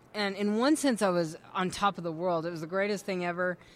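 A woman speaks at medium pitch and a moderate pace in a normal speaking voice. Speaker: testimony speaker. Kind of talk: testimony.

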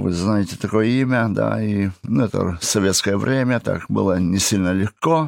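With a plain, everyday voice, a man talks at a fairly low pitch and a fairly slow pace, his intonation lively. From Kazakhstan (Russian-German family). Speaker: prison and addiction ministry worker. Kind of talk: testimony. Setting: studio.

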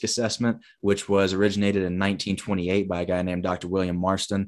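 Against a quiet background, a man with an American accent speaks at a very fast pace in a fairly low pitch. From US South, Huntsville, Alabama. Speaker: education consultant and former gymnast. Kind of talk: casual interview.

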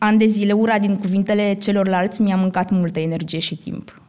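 A woman with a plain, everyday voice speaks at a fairly quick pace, her medium pitch held in fairly even intonation. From Romania, Roma community. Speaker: actress. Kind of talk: live stage talk. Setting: stage with audience.

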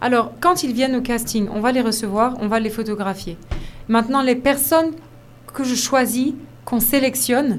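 A woman with a high pitch and ordinary pitch variation talks at a moderate pace with long, frequent pauses, and audible room echo surrounds her. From Côte d'Ivoire. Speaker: fashion model and agency founder. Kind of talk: radio interview.

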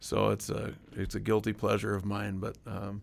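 Here is a man with a plain, everyday voice and a fairly low pitch. He keeps a moderate pace on a very clean recording with a silent background. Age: 40s. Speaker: interviewee, father. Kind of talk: testimony.

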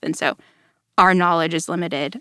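A woman with an American accent speaks at a fairly quick pace, her pitch fairly low and marked by vocal fry. The sound is dry and close, with no echo. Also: very clean recording, silent background. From North Texas (Allen, near Dallas). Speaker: church staff member, communications team. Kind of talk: Bible study discussion. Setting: studio.

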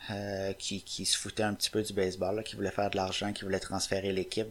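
This is a man speaking. He has a Quebec accent. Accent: Québécois French. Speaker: baseball website writer. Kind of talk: casual chat.

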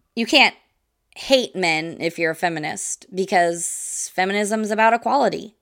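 In a very clean recording with a silent background, a woman with an American accent and a plain, everyday voice speaks at a moderate pace, medium in pitch, with ordinary pitch variation. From US Midwest. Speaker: podcast host. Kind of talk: solo educational podcast monologue. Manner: casual, with frequent fillers and laughs.

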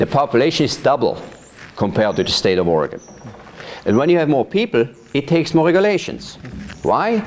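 Speaking in a Swiss German accent, a man with a fairly high pitch talks at a very fast pace with very wide pitch swings and long, frequent pauses, over noticeable background noise. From Switzerland, Thurgau. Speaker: vineyard manager. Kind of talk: oral history interview. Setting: at his farm.

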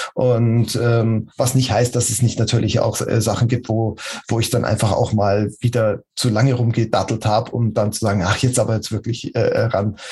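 A man at medium pitch speaks at a moderate pace with hardly any pauses, his intonation monotone and flat and his loudness very even, over noticeable background noise. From Munich, Bavaria. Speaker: agile coach. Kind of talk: interview. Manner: halting.

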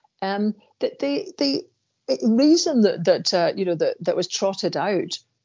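A woman speaks with a Scottish accent. Her pace is moderate. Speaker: podcast co-host, columnist. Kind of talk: casual chat.

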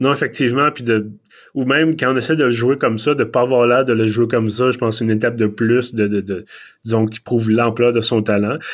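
With an unremarkable speaking voice, a man talks at a medium pitch and a fairly quick pace, keeping his intonation fairly even. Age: 30s. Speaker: podcast host. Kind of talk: casual chat. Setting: remote video call.

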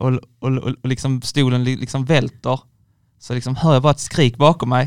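A man's monotone, flat delivery at a moderate pace, in a dry, close sound with no echo. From Skåne, village near Ängelholm. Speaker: university student. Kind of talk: casual chat. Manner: halting, repetitive starts.

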